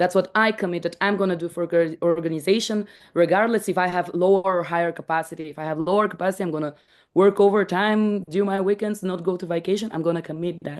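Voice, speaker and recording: A woman with a non-native accent speaks at a very fast pace against a quiet background. Her pitch is medium and her intonation fairly even. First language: not English. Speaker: startup team member presenting a contributor-reward tool. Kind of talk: online meeting explanation. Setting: video call. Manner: halting, many restarts.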